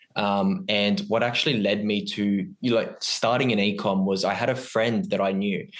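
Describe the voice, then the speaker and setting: A normal speaking voice, a man's, at a moderate pace with hardly any pauses, fairly even intonation and very even loudness. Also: fairly low pitch for a man. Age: 20s. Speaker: ecommerce entrepreneur. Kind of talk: podcast interview. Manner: many filler ums.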